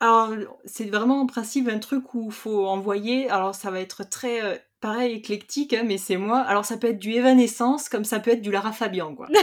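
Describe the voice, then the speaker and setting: A woman's fairly high voice at a fairly quick pace, an ordinary speaking voice with fairly even intonation. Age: 30s. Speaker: accountant and trainee naturopath. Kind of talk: interview.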